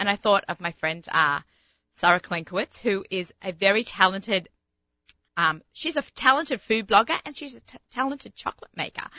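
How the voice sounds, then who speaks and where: A woman with a strong Sydney accent speaks at medium pitch and a moderate pace, her animated tone marked by very wide pitch swings. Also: big swings in loudness. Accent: strong Sydney Australian. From Australia. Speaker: radio host and kosher personal chef. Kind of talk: casual radio chat and interview. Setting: studio.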